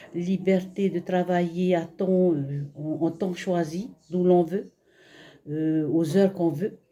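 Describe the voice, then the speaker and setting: Speaking at a very slow pace, a woman has a fairly low, dark and mellow voice with fairly even intonation. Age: 60s. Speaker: retiree giving a testimonial. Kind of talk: testimony. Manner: halting, many fillers.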